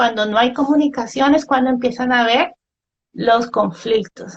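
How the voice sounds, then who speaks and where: A woman talks fairly slowly in a high register, her pitch varying in an ordinary way. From Colombia, Ibagué (Tolima). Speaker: biologist and education expert. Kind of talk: interview.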